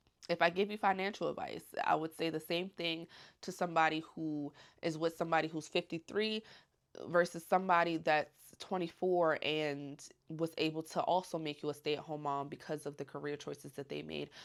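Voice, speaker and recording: Soft-spoken, a woman talks at a fairly quick pace. Her pitch is fairly low and her intonation fairly even. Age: 20s. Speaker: stay-at-home mom and vlogger. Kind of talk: casual Q&A chat.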